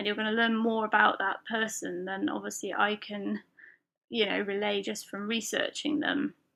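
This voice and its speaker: Speaking with a British accent, a woman keeps a moderate pace. Her pitch is fairly high, with ordinary pitch variation. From UK. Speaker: podcast host and lettering artist. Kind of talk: solo podcast monologue. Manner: casual, filler-heavy.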